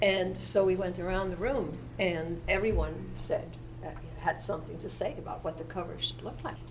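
A woman speaks at a moderate pace with an American accent over noticeable background noise. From New York. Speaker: history professor. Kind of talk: academic panel talk.

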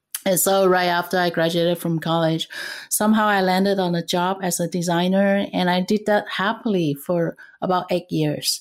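In a Cantonese accent, a woman talks at a moderate pace and a medium pitch. Her intonation is fairly even and her loudness very even. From Vietnam, raised around Asia, then US. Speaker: intercultural trainer and leadership coach. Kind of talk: interview.

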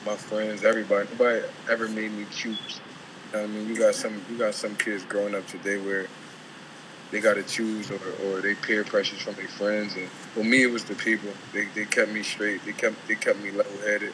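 A man speaks in a flat monotone at a fairly low pitch and a fairly quick pace. Noticeable background noise runs underneath. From South Philadelphia. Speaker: pro basketball player. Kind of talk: casual interview.

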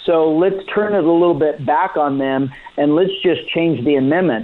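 A man's fairly high voice with ordinary pitch variation over noticeable background noise. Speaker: county sheriff. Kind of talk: radio interview.

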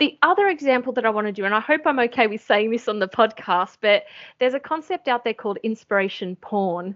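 This woman talks very fast with an Australian accent, a fairly high pitch and lively intonation. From Australia, Sydney. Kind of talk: interview.

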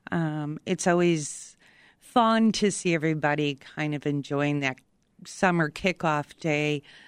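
Over a quiet background, a woman speaks at a fairly slow pace with a very deep, low pitch. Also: ordinary pitch variation. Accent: American. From Chicago, south side. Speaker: veterans outreach coordinator. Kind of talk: radio interview.

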